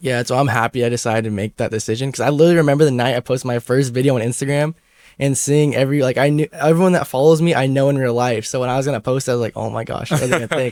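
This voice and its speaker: The man's delivery is very fast, with fairly even intonation. His medium-pitched voice sounds dry and close, with no echo. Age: young. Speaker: content creator. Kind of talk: casual chat.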